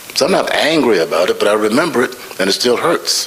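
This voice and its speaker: A man with an American accent talks at a very fast pace over noticeable background noise. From US South. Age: 80s+. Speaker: scholar and author. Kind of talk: panel dialogue.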